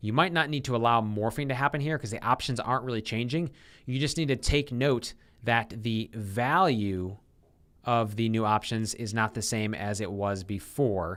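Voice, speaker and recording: A man with a normal speaking voice, medium pitch and ordinary pitch variation at a moderate pace, on a very clean recording with a silent background. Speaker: software developer live-streaming coding. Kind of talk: live coding stream, thinking aloud.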